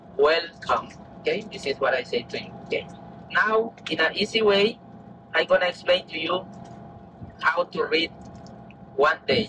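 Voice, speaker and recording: The speech comes at a fairly slow pace. Noticeable background noise is present. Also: man. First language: Maya. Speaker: tour guide. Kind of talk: guided tour explanation.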